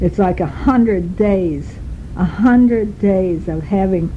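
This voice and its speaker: There is noticeable background noise and audible room echo as a woman talks at a medium pitch with fairly even intonation. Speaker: travel diarist. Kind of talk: spoken travel diary. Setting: recorded on a tape recorder while travelling. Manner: loud.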